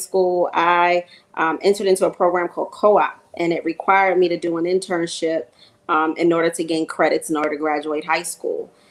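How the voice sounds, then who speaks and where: In a New York accent, the speaker moves at a fairly quick pace with monotone, flat intonation. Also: woman, fairly low pitch for a woman. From New York (Queens). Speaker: music marketing executive. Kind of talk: panel discussion.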